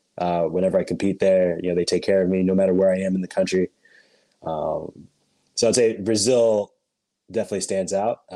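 A man with a General American accent speaks in a very deep, low pitch with a dark, mellow tone. His intonation is fairly even, broken by long, frequent pauses. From US Pacific Northwest, Portland, Oregon. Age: 20s. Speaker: handball player. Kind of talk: interview.

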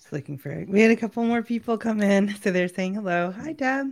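Speaking at a very fast pace, a woman with a fairly high pitch uses lively intonation and big swings in loudness. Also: very clean recording, silent background. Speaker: podcast co-host. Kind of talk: casual chat. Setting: live video stream.

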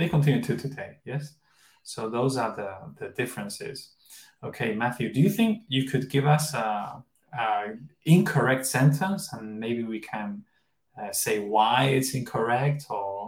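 A man's somewhat breathy voice in a Spanish accent, medium in pitch, with lively intonation and big swings in loudness. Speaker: English teaching podcast host. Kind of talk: bilingual English lesson. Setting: live stream.

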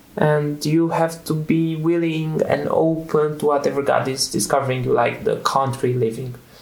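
With a Romanian accent, a man speaks at a moderate pace in a fairly high pitch, with fairly even intonation and hardly any pauses. His loudness stays very even, and audible room echo surrounds the voice. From central Romania. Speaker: lifestyle center student. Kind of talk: interview. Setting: on site at a lifestyle center. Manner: halting.

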